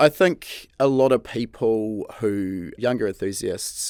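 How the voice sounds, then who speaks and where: A man speaks with a New Zealand accent. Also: very clean recording, silent background. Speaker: podcast host. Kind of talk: casual interview chat.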